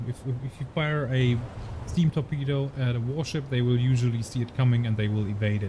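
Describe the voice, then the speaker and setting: A man with a German accent speaks at a fairly quick pace and medium pitch. His voice is somewhat breathy and his tone dark and mellow, with ordinary pitch variation. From Germany. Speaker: gaming streamer, ex-navy officer. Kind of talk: live gameplay commentary. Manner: halting, many repeated words.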